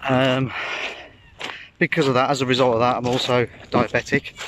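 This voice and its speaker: Noticeable background noise accompanies a man talking at a moderate pace, the sound dry with no echo. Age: 50s. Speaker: vlogger. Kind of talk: casual vlog monologue. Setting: outdoors. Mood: candid, personal. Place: beach. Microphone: phone near.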